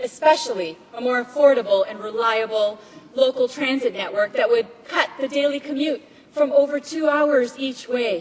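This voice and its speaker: Against noticeable background noise, a woman with a high voice speaks at a moderate pace. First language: Tamil. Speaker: politician. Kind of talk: parliamentary speech. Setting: legislative chamber. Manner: formal.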